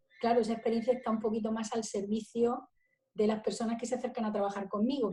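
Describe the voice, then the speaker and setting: A woman speaks in a fairly high pitch with a dark, mellow tone. Her intonation is monotone and flat. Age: 60s. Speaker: spiritual business coach. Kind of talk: interview.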